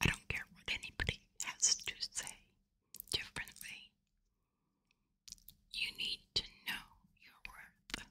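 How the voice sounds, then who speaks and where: A woman whispers at a very slow pace with long, frequent pauses. Her loudness swings widely. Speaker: ASMR creator. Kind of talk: ASMR personal attention, whispered. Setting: close-mic studio recording with gain turned up. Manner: whispered, soft, intimate. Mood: warm, reassuring. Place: home room. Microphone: studio mic.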